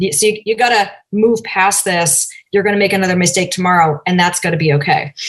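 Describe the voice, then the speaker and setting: A woman's normal speaking voice with an American accent, medium in pitch with ordinary variation, fairly quick in pace and very even in loudness. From US Northeast, Cambridge, Massachusetts. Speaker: diversity and inclusion advisor. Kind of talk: interview.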